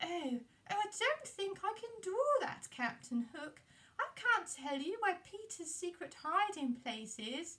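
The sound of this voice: A put-on character voice with very wide pitch swings and a fairly slow pace. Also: woman, extremely high pitch for a woman.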